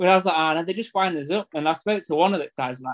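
A man with a Yorkshire accent, very fast pace, ordinary pitch variation. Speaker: football fan. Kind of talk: casual chat telling stories.

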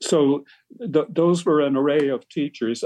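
A man with an Irish accent, fairly slow in pace, with ordinary pitch variation. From Ireland, Tipperary. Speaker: retired medical professor. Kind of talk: interview. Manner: halting.

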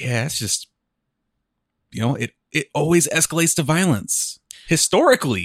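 A man with a fairly high pitch and vocal fry talks at a moderate pace, his pitch swinging very widely between long, frequent pauses. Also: dry, close sound with no echo. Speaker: podcast co-host. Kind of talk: casual chat.

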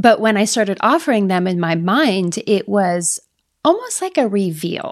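A woman with an ordinary speaking voice uses a medium pitch and lively intonation, keeping to a moderate pace. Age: 50s. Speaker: photographer. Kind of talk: interview.

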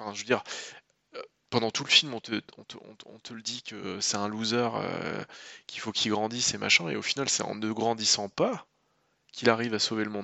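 Pausing long and often, a man with a medium pitch keeps fairly even intonation but shows big swings in loudness. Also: fairly quick pace. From Normandy, France. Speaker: film critic and podcast co-host. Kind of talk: casual chat.

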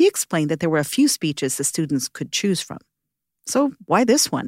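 On a very clean recording with a silent background, a woman with a fairly low pitch talks at a fairly quick pace. Her pitch swings very widely, and the sound is dry and close with no echo. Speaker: podcast host and narrator. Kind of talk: scripted narration. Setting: studio.

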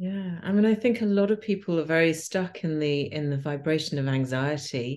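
A woman with a British accent, fairly low in pitch, with lively intonation, hardly any pauses and a quiet background. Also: moderate pace. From England. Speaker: podcast host, yoga teacher. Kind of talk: casual interview. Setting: remote call.

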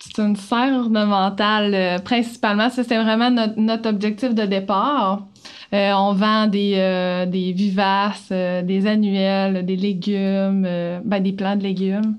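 A woman at a medium pitch talks at a very slow pace, with monotone, flat intonation and very even loudness. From Quebec, Haute-Gaspésie. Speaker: greenhouse owner. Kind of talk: casual interview.

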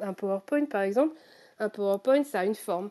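Against a quiet background, a woman with a medium pitch and a dark, mellow tone talks at a fairly quick pace in a dry, close sound with no echo. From Normandy, France. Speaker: crypto-artist. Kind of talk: interview. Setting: live audio chat room.

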